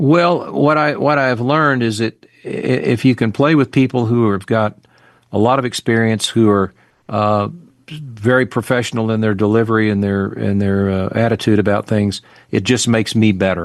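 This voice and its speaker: Moderate-paced male speech at medium pitch, with ordinary pitch variation and an American accent. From US South, northwest Arkansas. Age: 60s. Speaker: singer-songwriter. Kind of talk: interview. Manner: halting.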